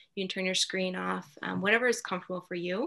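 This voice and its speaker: Over a quiet background, a woman's speech moves at a fairly quick pace. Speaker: mindfulness coach. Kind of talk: guided meditation. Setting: video call. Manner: soft-spoken. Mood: calm, soothing. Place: home room. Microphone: webcam.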